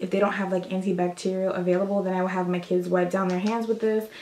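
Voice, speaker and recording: Against noticeable background noise, a woman speaks at a medium pitch in a monotone, flat intonation. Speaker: beauty vlogger. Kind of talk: casual show-and-tell vlog. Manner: casual, chatty; lowered voice, quieter.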